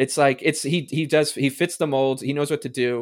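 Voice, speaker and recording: This man has an unremarkable speaking voice, pitched fairly high. He talks at a fairly quick pace with fairly even intonation. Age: 30s. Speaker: hockey podcast guest. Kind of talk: casual chat. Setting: remote call.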